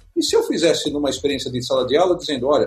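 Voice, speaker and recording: High male pitch against noticeable background noise. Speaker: business panel host. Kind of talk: panel discussion.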